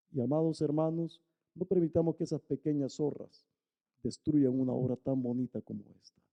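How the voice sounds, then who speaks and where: Fairly even in intonation, a man talks at a fairly high pitch and a moderate pace. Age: 60s. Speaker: pastor. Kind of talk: sermon.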